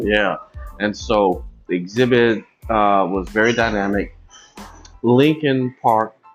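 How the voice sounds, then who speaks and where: Over music in the background, a man with a fairly low voice speaks at a very slow pace, with long, frequent pauses and ordinary pitch variation. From Arkansas. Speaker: humanities executive director and educator. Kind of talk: interview answer.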